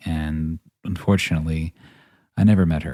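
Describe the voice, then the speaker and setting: Soft-spoken and very deep, a man with an American accent talks in a dark, mellow tone with fairly even intonation. The recording is very clean and dry, close with no echo and a silent background. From northern Virginia, US. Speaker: podcast host and actor. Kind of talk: personal storytelling monologue.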